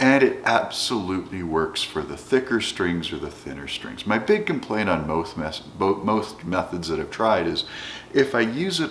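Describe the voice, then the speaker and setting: Speaking at a fairly slow pace, a man swings his pitch very widely over noticeable background noise. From Canada. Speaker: educator, guitar hobbyist. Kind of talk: casual talk to camera.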